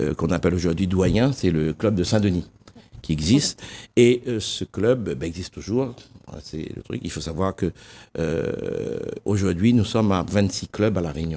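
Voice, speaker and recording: Over a very clean recording with a silent background, a man speaks at a fairly slow pace, his very deep, low pitch dark and mellow in tone yet lively in intonation. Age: 60s. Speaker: association volunteer official. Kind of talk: TV interview. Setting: TV studio. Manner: hesitant, some stumbling.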